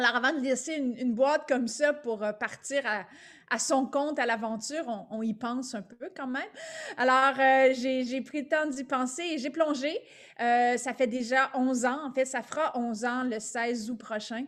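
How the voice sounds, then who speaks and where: A woman with a Quebec accent speaks at a high pitch. She keeps a moderate pace and fairly even intonation. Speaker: business owner, leadership consultant. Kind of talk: webinar presentation.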